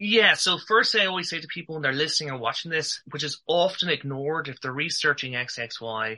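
With an Irish accent, a man speaks in a bright, sharp tone with lively intonation and hardly any pauses. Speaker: male infertility advocate. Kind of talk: interview testimony.

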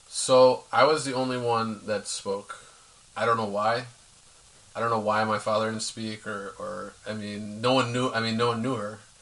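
A man with an American accent speaks at medium pitch and moderate pace. His intonation is monotone and flat over noticeable background noise. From US Northeast, Philadelphia. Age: 30s. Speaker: interview guest. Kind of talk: personal testimony.

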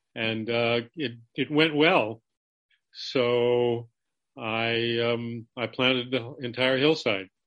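A man with an American accent talks at a very slow pace, with medium pitch and fairly even intonation. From California, Los Angeles (San Fernando Valley). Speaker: winemaker. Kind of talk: interview. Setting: video call.

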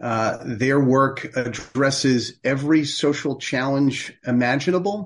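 With a normal speaking voice and a fairly high pitch, this man talks at a fairly slow pace with ordinary pitch variation and hardly any pauses. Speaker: charity executive. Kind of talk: interview.

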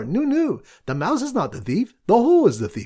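A squeaky, put-on character voice sits at a fairly high pitch. It moves at a fairly quick pace. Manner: proclaiming.

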